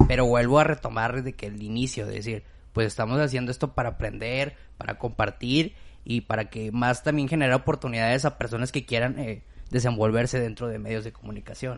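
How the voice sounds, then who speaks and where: A man talks at a fairly quick pace in a normal speaking voice. His pitch is medium and his intonation fairly even. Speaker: podcast host. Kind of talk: casual chat.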